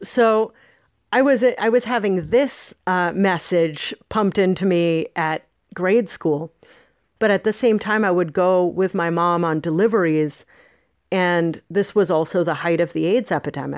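A plain, everyday voice with an American accent moves at a fairly slow pace with ordinary pitch variation, the sound dry and close with no echo. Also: woman, medium pitch for a woman. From northern California. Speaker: author. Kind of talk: interview.

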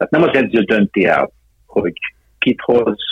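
A man talks at a fairly slow pace. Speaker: football sporting director. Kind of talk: interview.

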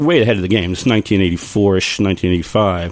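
This is a man with an American accent and an ordinary speaking voice. His pitch is fairly low, with ordinary pitch variation. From Long Island, New York. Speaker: brewer. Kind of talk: casual chat.

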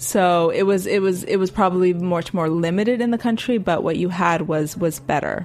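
A woman with an unremarkable speaking voice talks at a medium pitch with ordinary pitch variation. Her loudness stays very even, and she hardly pauses. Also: moderate pace. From Miami, Cuban-American family. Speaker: cookbook author. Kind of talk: interview.

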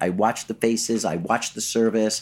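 With an American accent, a man uses a normal speaking voice at a medium pitch, moderate pace and fairly even intonation. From New York City (Flushing, Queens). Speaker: PR agency founder. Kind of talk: casual interview. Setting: studio.

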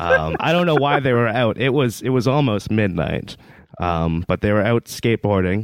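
A man's medium-pitched voice with a Boston accent, lively intonation and a moderate pace. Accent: Boston-area North Shore. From US Northeast (Massachusetts). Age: 20s. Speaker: dispute litigant. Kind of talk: casual chat. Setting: video call. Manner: rambling, hesitant with many fillers.

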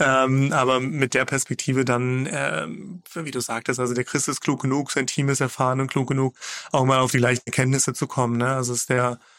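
This man has a normal speaking voice at a medium pitch. He talks at a moderate pace. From Magdeburg, eastern Germany. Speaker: startup founder and CEO. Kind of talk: interview. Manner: frequent filler sounds.

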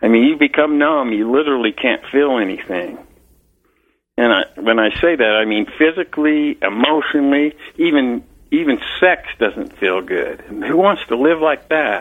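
With an American accent, a man talks at a moderate pace with an ordinary speaking voice. His pitch is fairly high and his intonation lively. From Utah, Salt Lake City. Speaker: retired police officer. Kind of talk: interview, personal story.

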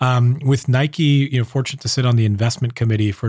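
With a Californian accent, a man speaks in a somewhat breathy voice with a dark, mellow tone. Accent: General American (Californian). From US, Southern California. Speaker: startup founder and advisor. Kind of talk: interview conversation.

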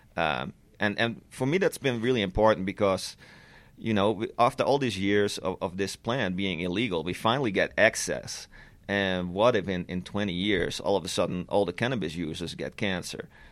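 A man's fairly low voice with a Dutch accent at a moderate pace, in a very clean recording with a silent background. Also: ordinary pitch variation. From Netherlands. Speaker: cannabis lab scientist. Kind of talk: interview.

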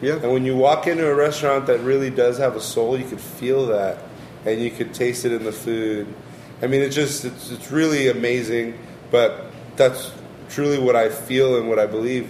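Against noticeable background noise, a man with a medium pitch speaks at a moderate pace with fairly even intonation. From Long Beach, California (Mexican family). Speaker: chef. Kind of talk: casual interview.

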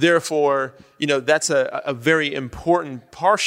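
A man's tone is bright and sharp, and his pitch moves in an ordinary way. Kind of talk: panel discussion. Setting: stage with audience.

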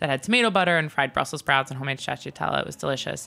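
A woman with a very deep, low pitch and a bright, sharp tone speaks with lively intonation on a very clean recording with a silent background. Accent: American. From Long Island, New York. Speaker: restaurant owner and chef. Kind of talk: interview. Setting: in a restaurant.

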